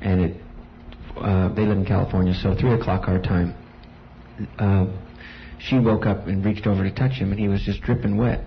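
Noticeable background noise lies under a man's fairly low-pitched voice. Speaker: congregation member giving testimony. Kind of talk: testimony.

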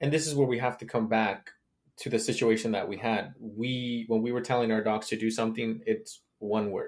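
Here is a man with an ordinary speaking voice. He keeps a moderate pace and fairly even intonation. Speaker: podcast host. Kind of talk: casual interview chat.

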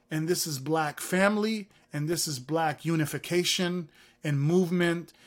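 A man speaks in an animated tone with a Californian accent, his pitch fairly high for a man. The pace is fairly slow, and the recording is very clean with a silent background. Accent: Californian American English. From US, San Francisco Bay Area. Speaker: music tech founder and CEO. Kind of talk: interview.

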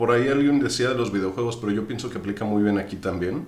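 Amid audible room echo and noticeable background noise, a man talks at a medium pitch. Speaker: tabletop role-playing game master. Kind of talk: casual chat.

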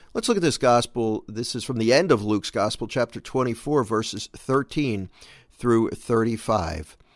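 At a moderate pace, a man of medium pitch talks in an ordinary speaking voice with ordinary pitch variation. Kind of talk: scripture reading in a daily devotional, steady and reverent, with a plain, even delivery. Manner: measured, earnest, conversational; time-conscious, brisk.

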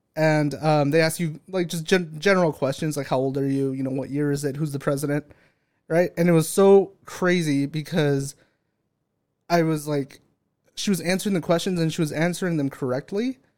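An American-accented man with an unremarkable speaking voice talks at a moderate pace, his fairly high pitch held in fairly even intonation. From California, San Bernardino. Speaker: unpaid podcast intern. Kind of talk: casual chat.

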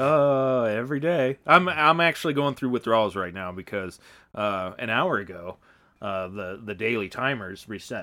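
A man with a plain, everyday voice, medium pitch and moderate pace. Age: 40s. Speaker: podcast co-host. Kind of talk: casual chat.

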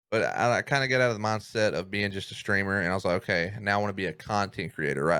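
A man's fairly low voice with a bright, sharp tone and a Southern US accent, at a very fast pace with fairly even intonation, on a very clean recording with a silent background. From US South, Mississippi. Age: 20s. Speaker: streamer, content creator. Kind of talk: casual chat.

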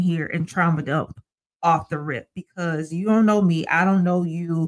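A woman with an American accent speaks in an ordinary speaking voice, her pitch fairly low. The sound is dry and close, with no echo. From Ohio, Sandusky. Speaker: licensed therapist and church elder. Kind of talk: casual interview chat.

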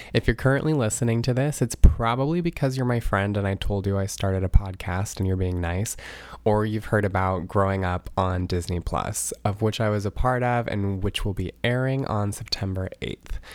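In a normal speaking voice, a man talks at a moderate pace with hardly any pauses, fairly low pitch and ordinary pitch variation, on a very clean recording with a silent background. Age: 20s. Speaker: podcast host and nurse. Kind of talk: podcast trailer monologue.

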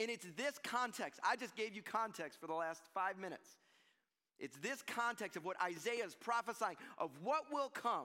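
This man talks in a raised, projected voice at a high pitch with a bright, sharp tone. His pitch swings very widely at a moderate pace. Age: 40s. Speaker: pastor. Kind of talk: sermon. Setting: church. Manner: animated.

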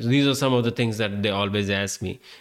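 A man's fairly low voice with an Indian accent. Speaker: podcast host. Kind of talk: casual monologue. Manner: animated.

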